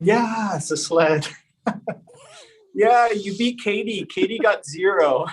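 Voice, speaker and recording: A man with a Canadian accent and a high voice speaks at a very slow pace, with lively intonation and long, frequent pauses. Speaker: podcast host. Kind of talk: casual interview chat.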